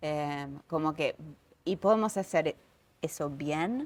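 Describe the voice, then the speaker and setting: A woman with a very deep, low pitch talks at a very slow pace. The recording is very clean, with a silent background. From United States. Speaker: yoga teacher and author. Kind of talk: casual chat. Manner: animated.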